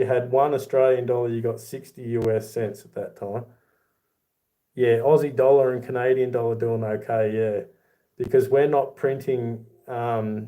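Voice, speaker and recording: Dark and mellow in tone, a man speaks at a medium pitch and moderate pace. His intonation is monotone and flat, with big swings in loudness. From Australia. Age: 40s. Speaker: YouTuber, silver collector. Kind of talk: livestream chat reading comments. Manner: casual, conversational.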